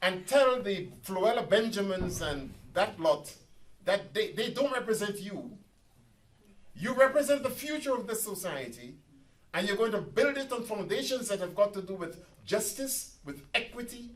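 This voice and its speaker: The delivery has an animated tone and lively intonation at a moderate pace. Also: man, high pitch for a man. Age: 70s. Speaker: professor and activist. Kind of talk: public talk. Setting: community centre meeting with audience.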